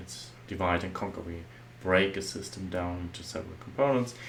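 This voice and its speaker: Lively in intonation, a man with a very deep, low pitch speaks at a moderate pace through audible room echo and noticeable background noise. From Germany. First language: German. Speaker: software architect. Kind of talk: tutorial. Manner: halting.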